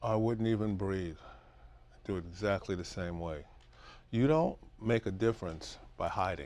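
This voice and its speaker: A man at a moderate pace, with ordinary pitch variation and long, frequent pauses, in a very clean recording against a silent background. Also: fairly low pitch for a man. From Brooklyn, New York (Bed-Stuy). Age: 60s. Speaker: caregiver for wife with Alzheimer's. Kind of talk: interview. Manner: animated.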